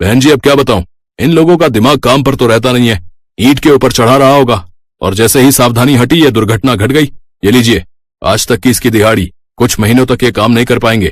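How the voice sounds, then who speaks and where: A cartoonish character voice moves at a fairly quick pace, its loudness very even and its pitch varying in an ordinary way. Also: man, medium pitch for a man. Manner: blunt, dismissive.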